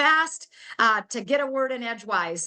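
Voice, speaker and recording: A woman with a high pitch and a bright, sharp tone speaks in a raised, projected voice with ordinary pitch variation. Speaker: network marketing presenter, health coach. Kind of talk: sales pitch. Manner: fast; animated.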